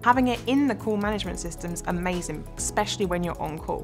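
Clear music sounds in the background. A woman speaks fairly quickly over it. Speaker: hospital IT service analyst. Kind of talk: interview answer. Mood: positive, enthusiastic. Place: studio. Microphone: lapel.

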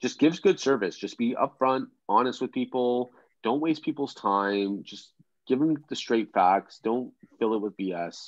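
Over a quiet background, a man with a Canadian accent speaks at a fairly slow pace with lively intonation. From Ontario, Canada (Pickering); Ontario, Canada. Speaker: real estate agent. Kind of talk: live webinar demo; live webinar demo and casual talk. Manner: casual, filler-heavy. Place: home room. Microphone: webcam.

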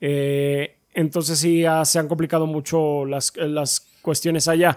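A man's fairly high-pitched voice, very slow and monotone with flat intonation, against a quiet background. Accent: Mexican. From Mexico. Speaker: gaming podcast co-host. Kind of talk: casual chat. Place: home room. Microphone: studio mic.

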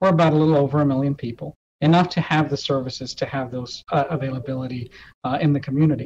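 A man with an American accent talks very fast in a fairly high, somewhat breathy voice, his intonation fairly even over light background noise. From Texas. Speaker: hospital system executive. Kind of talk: interview. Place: office. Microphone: video call.

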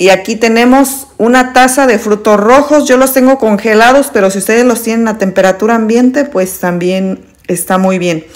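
At a moderate pace with hardly any pauses and ordinary pitch variation, a woman speaks against a quiet background. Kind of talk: tutorial. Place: kitchen. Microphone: phone near.

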